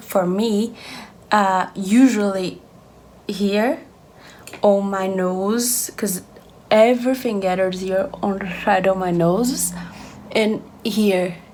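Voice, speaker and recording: A woman's medium-pitched voice with fairly even intonation and audible room echo. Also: long, frequent pauses. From Brazil. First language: Portuguese. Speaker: beauty vlogger. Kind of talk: makeup tutorial.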